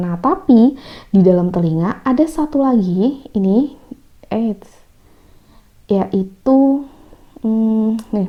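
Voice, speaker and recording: A woman speaks with lively intonation. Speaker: science teacher. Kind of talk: casual online lesson. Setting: phone recording. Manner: quiet, not loud.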